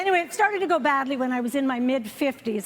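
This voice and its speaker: Speaking at a very fast pace with a Canadian accent, a woman uses a high pitch over noticeable background noise. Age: 60s. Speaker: comedian. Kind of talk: stand-up. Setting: stage with audience.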